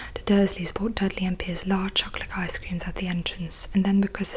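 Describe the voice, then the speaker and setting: A soft-spoken woman talks at a fairly quick pace with a flat, monotone intonation and a medium pitch. Noticeable background noise runs under her voice. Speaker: ASMR creator. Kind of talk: audiobook-style reading of a novel. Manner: soft-spoken, relaxing.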